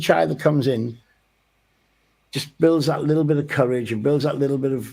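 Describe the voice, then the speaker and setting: A man talks at a fairly quick pace in a Welsh accent. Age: 60s. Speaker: boxing coach. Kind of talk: radio interview. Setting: studio. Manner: halting.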